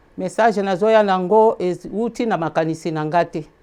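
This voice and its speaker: A woman speaks with a Congolese accent. Her tone is dark and mellow. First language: Lingala (speaking French). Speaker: preacher. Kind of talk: sermon.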